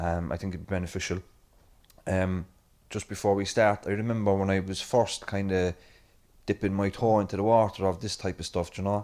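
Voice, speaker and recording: A man with a Cork accent talks at a very fast pace, his pitch fairly low. His intonation stays monotone and flat. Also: very clean recording, silent background. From Ireland, Cork City. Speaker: event chair and podcaster. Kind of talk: conference chairing remarks.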